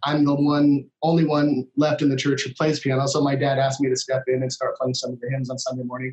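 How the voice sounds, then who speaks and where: A man with an American accent talks at a very fast pace, somewhat breathy. His fairly high voice stays monotone and flat. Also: hardly any pauses. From US Midwest, Minnesota. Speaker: worship leader. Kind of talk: casual interview conversation.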